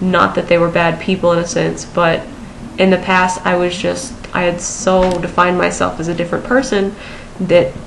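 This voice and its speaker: The pace is fairly quick. Noticeable background noise and audible room echo come through. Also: woman. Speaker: vlogger. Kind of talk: personal vlog. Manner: hesitant, many fillers.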